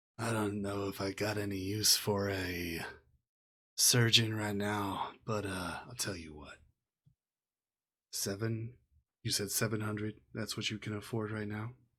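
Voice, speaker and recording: A man's put-on character voice, fairly low in pitch, at a moderate pace with long, frequent pauses, in a very clean recording with a silent background. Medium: actual play. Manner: curt, hard-bargaining.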